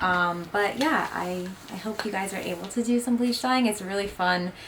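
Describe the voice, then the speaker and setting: A woman speaks at a moderate pace with a medium pitch and ordinary pitch variation. Noticeable background noise sits behind her. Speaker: cannabis lifestyle YouTuber. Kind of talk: casual vlog chat. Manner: mumbling.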